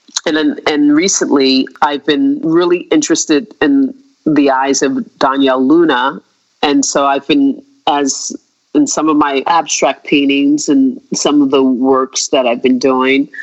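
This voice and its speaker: A woman with an American accent speaks with a very deep, low pitch at a fairly slow pace. Her intonation is fairly even and her loudness very even. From United States. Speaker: visual artist. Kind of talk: interview. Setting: remote call. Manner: halting, many fillers.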